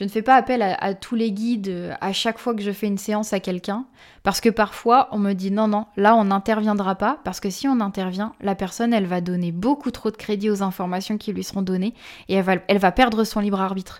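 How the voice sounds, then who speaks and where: A woman with a plain, everyday voice speaks at medium pitch and a fairly quick pace. The recording is very clean, with a silent background. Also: fairly even intonation. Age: 20s. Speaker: spiritual medium. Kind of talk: interview.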